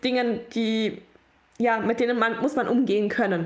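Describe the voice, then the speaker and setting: Over noticeable background noise, a woman speaks at a very slow pace with a fairly high pitch and fairly even intonation. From Allgäu, Bavaria, Germany. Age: 20s. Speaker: prison outreach volunteer. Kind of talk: podcast interview.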